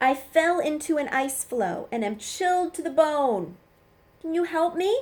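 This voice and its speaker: Putting on a character voice, a woman speaks high-pitched, gruff and growling. Her intonation is lively and her pace moderate. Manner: growling, gruff.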